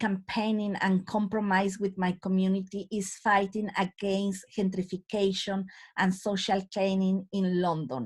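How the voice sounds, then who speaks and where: A woman with a strong Latin American accent speaks at a medium pitch, her voice somewhat breathy and her intonation fairly even. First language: Spanish. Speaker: community activist. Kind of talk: panel talk. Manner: halting, with filler sounds.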